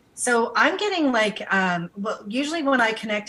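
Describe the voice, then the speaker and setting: Noticeable background noise sits behind a woman's fairly high voice with a slight Canadian accent. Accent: barely noticeable Canadian. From Canada. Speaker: psychic medium and co-host. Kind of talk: psychic reading on live call-in show.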